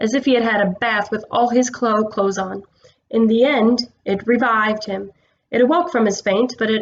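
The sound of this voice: The background stays quiet. This is an unforced reading voice.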